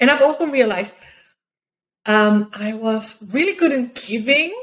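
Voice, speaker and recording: Her voice is somewhat breathy, with ordinary pitch variation. The woman speaks at a fairly slow pace. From South Australia. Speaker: podcast host, adult content creator and pleasure coach; podcast host, coach. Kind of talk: casual monologue. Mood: open, upbeat, candid. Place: home room.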